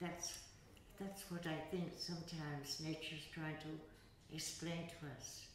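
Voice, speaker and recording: In a room with audible echo and light background noise, a woman with a fairly low voice speaks at a fairly slow pace. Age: 80s+. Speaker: yoga teacher. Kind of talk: interview answer. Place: hall.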